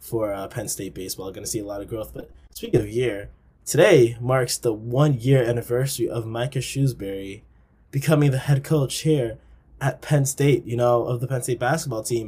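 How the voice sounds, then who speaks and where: Speaking at a moderate pace with an American accent, the man has a dark, mellow, somewhat breathy tone and ordinary pitch variation. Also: medium pitch for a man. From Long Island, New York. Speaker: student podcast co-host. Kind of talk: casual chat.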